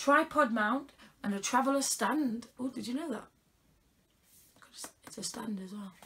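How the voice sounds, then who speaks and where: Over noticeable background noise, a woman with a British accent talks in an animated tone at a high pitch. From UK. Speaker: unboxing vlogger. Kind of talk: casual unboxing chat. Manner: chatty, animated. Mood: playful, teasing. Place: home room. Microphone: phone near.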